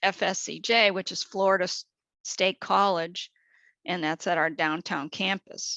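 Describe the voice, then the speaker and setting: A woman's voice sounds bright and sharp, with vocal fry. The sound is dry and close with no echo over a quiet background. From New England. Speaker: government agency administrator. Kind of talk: webinar presentation.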